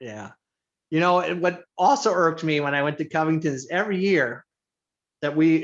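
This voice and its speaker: A man with an American accent speaks at a moderate pace in an unremarkable speaking voice. His pitch sits fairly high and varies in an ordinary way. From Indiana. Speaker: teacher and basketball coach. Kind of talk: casual chat.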